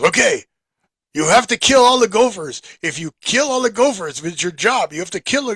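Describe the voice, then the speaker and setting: Putting on a character voice, a man speaks at a moderate pace in an intense tone, with an extremely high pitch and very wide pitch swings. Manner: intense, insistent.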